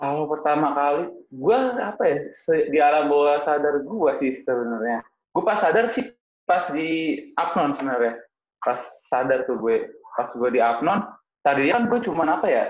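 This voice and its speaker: A man's fairly high voice with lively intonation, at a moderate pace broken by long, frequent pauses. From Jakarta, Indonesia (Betawi). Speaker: Betawi culture activist. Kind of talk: casual chat. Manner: animated.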